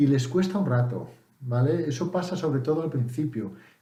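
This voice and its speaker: Audible room echo surrounds a man's somewhat breathy voice, dark and mellow in tone, at a medium pitch with ordinary pitch variation. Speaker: English teacher vlogger. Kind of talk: casual tutorial. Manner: hesitant, with fillers and self-corrections.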